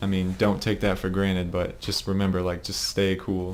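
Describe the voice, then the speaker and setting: Audible room echo surrounds a man whose very deep, low voice moves at a fairly quick pace. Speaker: competitive gamer and team leader. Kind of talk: game demo review for teammates. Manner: casual, fast. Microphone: low quality recording.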